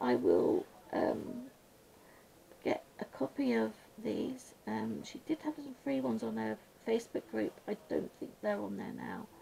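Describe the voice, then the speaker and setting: Fairly slow speech from a woman with a British accent. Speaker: colouring YouTuber. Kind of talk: casual chat while colouring. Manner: soft-spoken, sometimes mumbling; hesitant, many ums.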